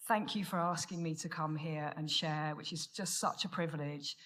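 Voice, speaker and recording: This woman has an English accent and a fairly low pitch. She speaks at a moderate pace. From Menorca, Spain, English family. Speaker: recovery speaker. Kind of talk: testimony. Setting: stage with audience.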